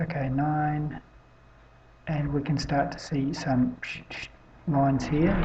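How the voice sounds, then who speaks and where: Amid audible room echo, a soft-spoken woman with a very deep, low voice speaks very slowly in a flat monotone, with long, frequent pauses and big swings in loudness. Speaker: amateur weather-watch video maker. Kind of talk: casual commentary on satellite images. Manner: soft-spoken, speaking quietly; halting, many fillers.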